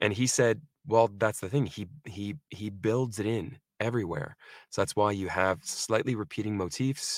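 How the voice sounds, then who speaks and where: A man with an American accent at a fairly slow pace, with ordinary pitch variation, in a dry, close sound with no echo on a very clean recording with a silent background. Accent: American living in UK, non-British. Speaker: actor. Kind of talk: casual interview. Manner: halting, fillers.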